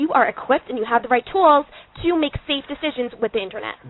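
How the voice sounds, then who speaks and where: A woman speaks loudly at a very fast pace, her high voice carrying lively intonation. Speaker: educator defending a girls' school policy. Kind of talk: radio talk show debate.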